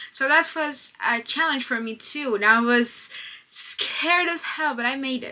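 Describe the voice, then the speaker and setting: The voice is raised and projected, moving at a fairly slow pace with ordinary pitch variation. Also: woman, high pitch for a woman. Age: 20s. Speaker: vlogger. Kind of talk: casual vlog monologue. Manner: halting, repetitive fillers.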